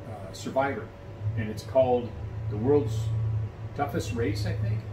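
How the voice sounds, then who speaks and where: Noticeable background noise behind a man speaking at a moderate pace. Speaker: vlogger. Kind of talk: casual vlog chat. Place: home room. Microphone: phone near.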